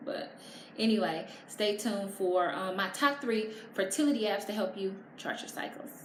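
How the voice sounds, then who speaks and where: A woman's animated voice with ordinary pitch variation, amid noticeable background noise and audible room echo. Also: medium pitch for a woman, moderate pace. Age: 30s. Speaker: vlogger and blogger. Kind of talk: casual vlog tutorial. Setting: at home with natural lighting.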